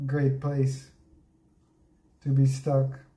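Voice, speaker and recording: A man's voice at medium pitch, dark and mellow in tone, somewhat breathy, very slow in pace, with audible room echo. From Transylvania, Romania (ethnic Hungarian). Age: 40s. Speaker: livestreamer. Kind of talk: casual livestream chat.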